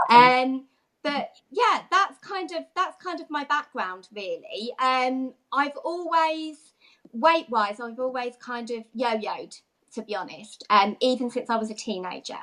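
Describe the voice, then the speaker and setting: Fairly slow speech in a London accent has a bright, sharp tone, very wide pitch swings and big swings in loudness. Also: woman, high pitch for a woman. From London area, Watford. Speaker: fitness coach, former nursery manager. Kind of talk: interview.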